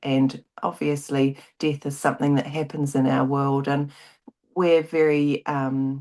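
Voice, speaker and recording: A woman with a slight New Zealand accent speaks at a fairly slow pace in a very deep, low voice, her dark, mellow tone carried on fairly even intonation. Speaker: grief advocate and author. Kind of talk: interview. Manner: halting.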